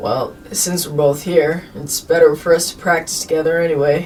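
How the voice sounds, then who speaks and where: Clear background noise sits behind a raspy, put-on character voice delivered at a middle pitch and a moderate pace. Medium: read story. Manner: low-key, understated.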